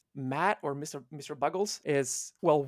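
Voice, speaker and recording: A fairly high-pitched man with an Italian accent, on a very clean recording with a silent background and a dry, close sound with no echo. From Italy. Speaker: volunteer translation team lead. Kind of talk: interview.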